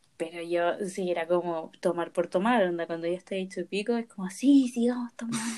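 A woman speaks with a Chilean accent and lively intonation. Her pace is fairly quick. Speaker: podcast host. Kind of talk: casual chat.

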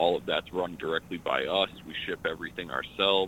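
A man speaks at a moderate pace. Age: 30s. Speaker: hip hop artist. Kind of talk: radio interview. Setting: phone call.

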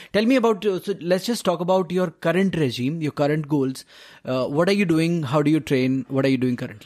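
Speaking at a fairly quick pace, a man with a plain, everyday voice uses lively intonation at a fairly high pitch for a man. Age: 30s. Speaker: podcast host. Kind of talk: interview.

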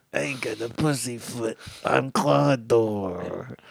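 A man puts on a character voice in a Brooklyn accent at a medium pitch. His pace is fairly slow. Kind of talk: tough, streetwise.

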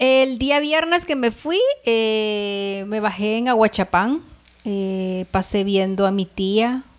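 Very slowly and with lively intonation, a woman talks at a fairly high pitch in a very clean recording with a silent background. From El Salvador. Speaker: podcast co-host. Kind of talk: casual chat.

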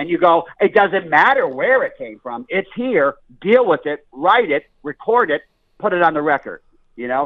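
A man with a Northeastern US accent and a high pitch speaks at a moderate pace, his voice making very wide pitch swings. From Scranton, Pennsylvania. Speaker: blues musician and comedian. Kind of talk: interview. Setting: phone call.

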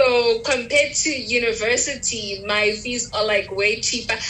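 Against noticeable background noise, a woman speaks at a fairly slow pace. Her pitch is high. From Pretoria, South Africa. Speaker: university student, podcast host. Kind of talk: casual chat.

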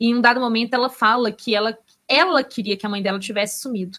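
Using a plain, everyday voice, a woman moves at a fairly quick pace, her pitch varying in an ordinary way. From Belo Horizonte, Brazil. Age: 30s. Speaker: book podcast co-host. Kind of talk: casual chat about books and film.

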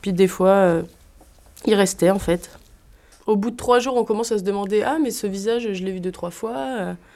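With long, frequent pauses, the voice keeps a moderate pace, a dark, mellow tone and ordinary pitch variation. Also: woman, medium pitch for a woman. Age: 20s. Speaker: agronomy student and squat activist. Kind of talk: interview; casual chat. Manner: hesitant.

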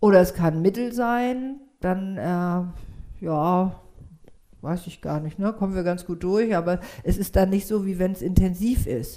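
At a very slow pace, a woman talks with a dark, mellow tone, medium pitch and ordinary pitch variation. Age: 60s. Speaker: yoga teacher and psychotherapist. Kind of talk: casual interview chat.

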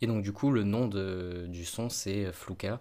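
A man at a very slow pace, fairly low in pitch, in a monotone, flat intonation. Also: very clean recording, silent background. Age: 20s. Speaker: film student and photographer. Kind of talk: casual chat.

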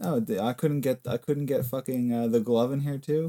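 In a dry, close sound with no echo, a man talks at a moderate pace and medium pitch in an animated tone. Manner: animated, profane.

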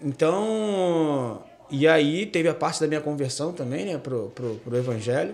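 Using an ordinary speaking voice, a man talks at a fairly slow pace in a fairly high pitch with lively intonation. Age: 30s. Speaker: gospel and rock musician. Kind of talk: radio interview.

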